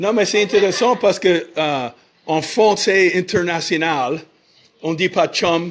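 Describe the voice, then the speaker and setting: In an English accent, a man talks very slowly with a high voice and ordinary pitch variation. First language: English (speaking French). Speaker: podcast host. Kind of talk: casual interview. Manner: halting, many hesitations.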